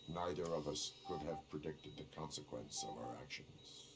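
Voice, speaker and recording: Man in a put-on character voice at a moderate pace, with clear background noise. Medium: video game. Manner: flat, formal, deadpan.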